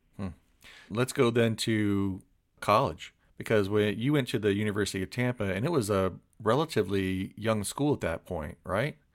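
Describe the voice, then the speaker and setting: An ordinary speaking voice with an American accent, moderate pace and ordinary pitch variation, in a very clean recording with a silent background. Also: man, fairly low pitch for a man. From Florida. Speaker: podcast host. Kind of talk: interview.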